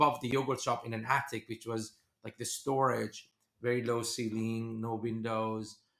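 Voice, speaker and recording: With a Persian accent, a man of medium pitch speaks at a moderate pace in a monotone, flat intonation. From Iran. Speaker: venture capitalist. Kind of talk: podcast interview.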